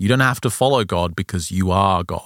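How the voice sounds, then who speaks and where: A man with an ordinary speaking voice talks fairly quickly at a fairly low pitch with ordinary pitch variation. The recording is very clean, the background silent. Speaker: podcast host. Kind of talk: casual chat.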